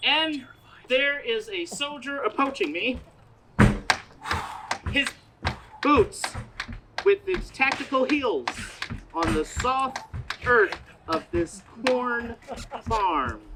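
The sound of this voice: A woman does a put-on character voice at a very slow pace, fairly high in pitch with big swings. Her tone is bright and sharp, with a slightly husky edge.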